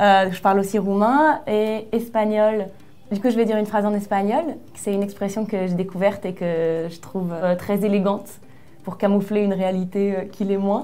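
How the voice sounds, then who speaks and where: Over music in the background and audible room echo, a woman speaks at a moderate pace with a medium pitch and fairly even intonation. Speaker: writer. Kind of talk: casual interview.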